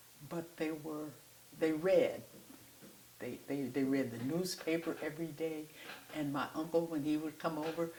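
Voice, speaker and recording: Against noticeable background noise, a woman with an American accent speaks with a very deep, low pitch and fairly even intonation. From US Midwest, south side of Chicago. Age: 90s. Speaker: artist and activist. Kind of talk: interview storytelling. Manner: halting, with frequent fillers.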